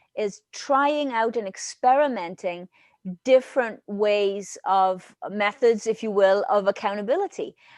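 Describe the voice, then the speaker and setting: In a Welsh accent, a woman speaks at a fairly high pitch and a fairly slow pace. The sound is dry and close with no echo, over a quiet background. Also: ordinary pitch variation. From Wales. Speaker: leadership consultant. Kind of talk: interview answer.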